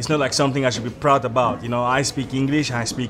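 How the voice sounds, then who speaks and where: Music plays behind a man speaking at a medium pitch. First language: not English. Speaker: immigrant in South Africa. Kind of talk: street interview discussion.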